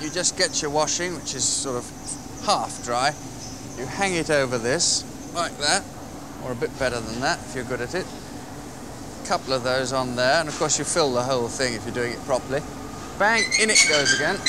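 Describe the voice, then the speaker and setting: Against noticeable background noise, a man talks at a fairly quick pace with ordinary pitch variation, the sound dry with no echo. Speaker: TV reporter. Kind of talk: tutorial.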